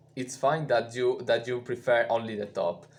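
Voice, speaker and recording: A man speaks with a non-native accent. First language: not English. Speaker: musician and live streamer. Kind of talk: live stream chat. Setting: live stream. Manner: halting, many fillers.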